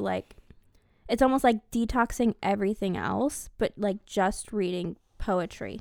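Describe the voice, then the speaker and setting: A woman with an unremarkable speaking voice talks at a fairly slow pace with ordinary pitch variation, recorded very cleanly against a silent background with a dry, close sound and no echo. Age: 20s. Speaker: podcast co-host. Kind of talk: casual chat.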